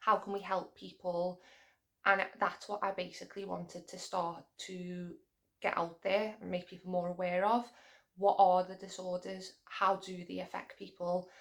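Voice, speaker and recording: Speaking at a moderate pace with a Liverpool accent, a woman keeps her intonation monotone and flat. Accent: Liverpool (Scouse). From England, Liverpool. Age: 20s. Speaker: mental health vlogger. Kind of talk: casual chat. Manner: halting.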